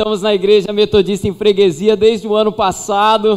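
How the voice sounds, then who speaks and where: This man talks with a high pitch, keeping a moderate pace. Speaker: pastor. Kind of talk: sermon. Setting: church.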